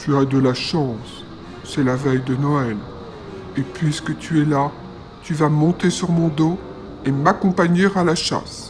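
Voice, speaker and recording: Over clear background noise, a man does a gruff, growling put-on character voice at a fairly high pitch, speaking fairly slowly with long, frequent pauses. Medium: read story. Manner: growling, gruff.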